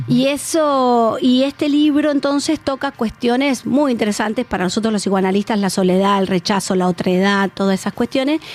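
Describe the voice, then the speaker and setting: A woman with a fairly high pitch uses a normal speaking voice and lively intonation at a moderate pace. Her loudness stays very even, and the recording is very clean with a silent background. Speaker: psychoanalyst. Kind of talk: radio interview.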